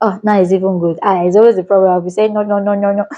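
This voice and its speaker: A woman with a Nigerian accent, animated in tone. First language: a Nigerian language. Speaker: vlogger. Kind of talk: casual vlog talk to camera.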